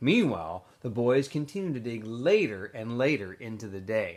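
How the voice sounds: A man at medium pitch and moderate pace, with lively intonation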